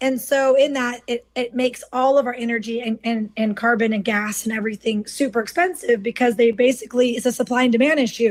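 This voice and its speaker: Hardly pausing at all, a high-pitched woman talks at a fairly quick pace with fairly even intonation. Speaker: political candidate. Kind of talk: interview.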